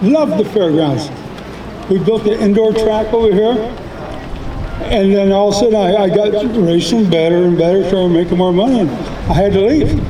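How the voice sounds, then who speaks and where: A man with an American accent and a high pitch talks at a fairly quick pace, with long, frequent pauses and ordinary pitch variation. His loudness stays very even, and the clip has audible room echo and noticeable background noise. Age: 70s. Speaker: retired race car driver. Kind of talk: ceremony speech.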